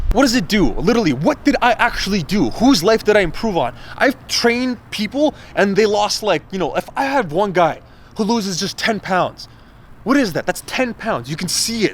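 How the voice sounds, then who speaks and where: Someone is shouting loudly with lively intonation. The pace is moderate. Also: man, high pitch for a man. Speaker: fitness vlogger and coach. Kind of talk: motivational rant vlog. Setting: alone, self-recorded vlog. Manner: loud, yelling; animated.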